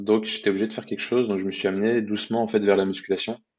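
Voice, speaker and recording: A man talks in a fairly low pitch with fairly even intonation. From France, Brittany. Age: 20s. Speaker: athlete and fitness coach. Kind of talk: podcast interview, casual storytelling. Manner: hesitant, many fillers and repetitions.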